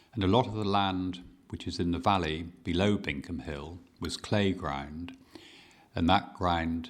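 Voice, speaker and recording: A man's very deep, low voice in a Dorset accent, with ordinary pitch variation and a fairly slow pace. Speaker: farmer. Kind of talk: oral history interview answer.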